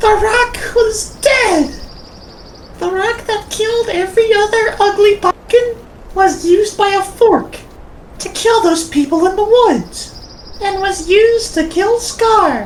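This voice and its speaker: A squeaky woman's voice at an extremely high pitch, fairly slow in pace, over clear background noise. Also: ordinary pitch variation. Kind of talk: parody storybook narration. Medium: machinima. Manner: deadpan, mock-dramatic.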